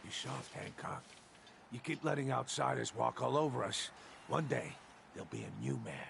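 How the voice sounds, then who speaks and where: Using a put-on character voice, a man talks in a raspy tone at a moderate pace, with long, frequent pauses and clear background noise. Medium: video game.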